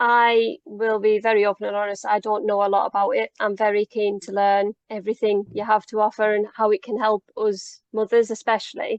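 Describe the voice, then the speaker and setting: A woman in a Cumbrian accent, fairly high-pitched and monotone with flat intonation, at a fairly quick pace with hardly any pauses. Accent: northern English, Cumbrian. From Cumbria, northern England. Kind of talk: casual, friendly.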